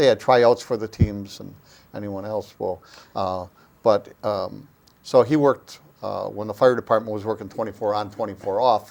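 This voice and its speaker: With an Upper Midwest accent, a man speaks at a fairly low pitch with fairly even intonation and big swings in loudness. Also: moderate pace. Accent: Upper Midwest (Wisconsin). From US Midwest, Oshkosh, Wisconsin. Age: 70s. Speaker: local historian and former city council member. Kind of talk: interview.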